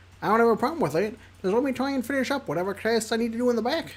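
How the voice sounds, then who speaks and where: A put-on character voice at a fairly high pitch and a very fast pace. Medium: game stream. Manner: relaxed, friendly.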